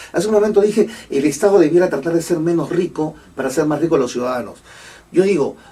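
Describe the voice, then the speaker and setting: Someone speaks at a very fast pace with ordinary pitch variation, with noticeable background noise behind them. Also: man, high pitch for a man. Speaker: economist commentator. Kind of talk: radio interview with call-ins. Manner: hesitant, many fillers.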